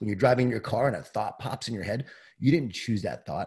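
A man's somewhat breathy, dark and mellow voice, with lively intonation at a fairly quick pace. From Long Island, New York. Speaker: leadership author and keynote speaker. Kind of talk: casual interview.

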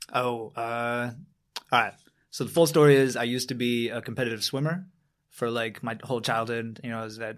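In an American accent, a normal speaking voice carries fairly even intonation. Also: man, medium pitch for a man. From upstate New York. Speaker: mixed martial arts fighter. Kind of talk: casual interview. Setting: gym mats.

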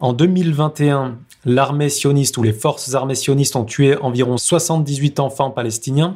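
A man speaks at a fairly slow pace in a fairly high pitch, with ordinary pitch variation. His voice is somewhat breathy. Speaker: news bulletin presenter. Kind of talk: news reading, scripted bulletin with quoted post. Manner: formal.

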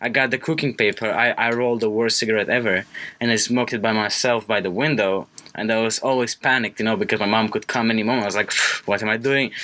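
A man at a medium pitch, speaking very fast with very even loudness amid noticeable background noise. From Romania. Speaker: college radio co-host. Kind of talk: casual chat. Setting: studio.

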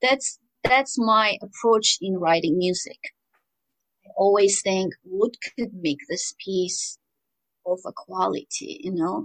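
In an Armenian accent, a woman of medium pitch speaks at a fairly slow pace with lively intonation, the sound dry and close with no echo. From rural Armenia. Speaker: composer. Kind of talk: interview.

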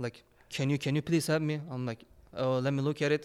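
A man speaks with a Turkish accent at a fairly high pitch. His intonation stays monotone and flat. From Turkey. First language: Turkish or Kurdish. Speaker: phone repair shop owner and content creator. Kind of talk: casual chat.

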